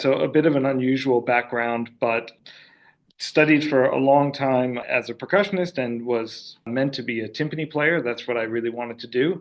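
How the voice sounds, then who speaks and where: Using a plain, everyday voice, a man with an American accent speaks at a moderate pace and medium pitch with ordinary pitch variation. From United States. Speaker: orchestra conductor. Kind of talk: interview.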